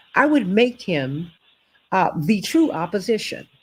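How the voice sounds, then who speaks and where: A woman speaks with an American accent and a somewhat breathy quality. Her pitch swings very widely. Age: 60s. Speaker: talk show host. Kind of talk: political talk show commentary. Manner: animated.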